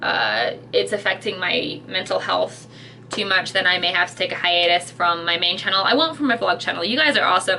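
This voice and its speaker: Fairly quick speech with ordinary pitch variation and very even loudness over noticeable background noise. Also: woman. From Britain. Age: 30s. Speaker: YouTuber / vlogger. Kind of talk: casual vlog rant. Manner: animated, halting with many fillers.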